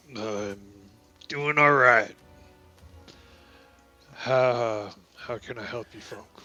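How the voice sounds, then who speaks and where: Very slow and broken by long, frequent pauses, a man does a put-on character voice with faint music in the background. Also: medium pitch for a man. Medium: actual play. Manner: plain-spoken, folksy.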